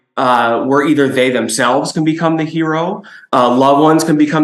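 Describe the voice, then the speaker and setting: Audible room echo surrounds a man with an American accent who speaks with ordinary pitch variation. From Chicago, US Midwest. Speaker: toy company executive. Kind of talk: business presentation.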